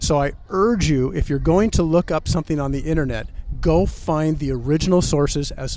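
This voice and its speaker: Music plays in the background. A man with a fairly high pitch talks at a moderate pace with ordinary pitch variation. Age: 60s. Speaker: political commentator guest. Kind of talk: interview. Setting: outdoors in front of the corn palace.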